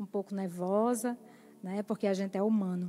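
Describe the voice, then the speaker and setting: In a northeastern Brazilian accent, a woman speaks at a moderate pace and medium pitch, her dark, mellow tone carried by fairly even intonation. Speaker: lay preacher. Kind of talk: sermon. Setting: church.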